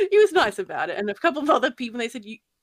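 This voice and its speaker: With an Australian accent, a woman speaks with lively intonation in a dry, close sound with no echo. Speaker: YouTube horror narrator. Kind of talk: casual chat. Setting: video call.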